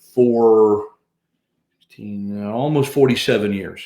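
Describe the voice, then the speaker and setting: A man talks in a plain, everyday voice. His pitch sits in the medium range and his intonation stays fairly even. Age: 60s. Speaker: stadium PA announcer and broadcaster. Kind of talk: interview. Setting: podcast interview.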